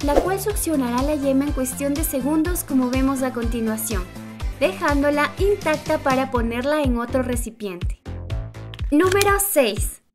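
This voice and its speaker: Over background music, a high-pitched woman speaks at a fairly slow pace in an upbeat tone with lively intonation. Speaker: narrator. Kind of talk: top-list video narration. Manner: lively, upbeat.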